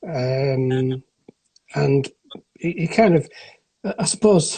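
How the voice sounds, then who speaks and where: At a very slow pace, a man with a northern English accent speaks at a fairly high pitch with lively intonation. His tone is dark and mellow, and somewhat breathy. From northern England, near Blackpool. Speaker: sepsis survivor. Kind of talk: interview testimony. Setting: Instagram live video call. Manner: halting, many false starts.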